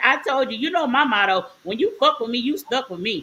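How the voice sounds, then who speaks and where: A woman's high, bright, sharp voice in a strong Southern US accent, animated and very fast, with lively intonation. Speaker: podcast co-host. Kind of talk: casual chat.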